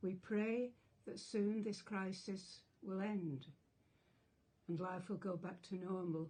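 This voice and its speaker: A woman with an English accent speaks very slowly at a medium pitch, her voice somewhat breathy. Her intonation stays fairly even. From England. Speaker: retired teacher. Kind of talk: public support message to camera.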